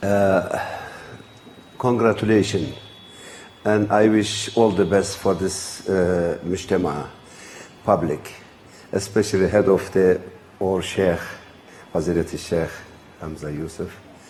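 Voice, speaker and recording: In a very deep, low voice with fairly even intonation, a man speaks fairly slowly with long, frequent pauses, over noticeable background noise and audible room echo. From Turkey. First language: Turkish. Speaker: traditional healer. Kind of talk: lecture. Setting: retreat gathering with audience. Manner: halting, hesitant.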